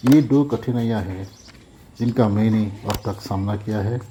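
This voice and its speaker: With a non-native accent, a man speaks in a dark, mellow, somewhat breathy voice. His pitch variation is ordinary. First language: not Hindi (speaking Hindi). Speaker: bike owner reviewer. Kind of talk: product review.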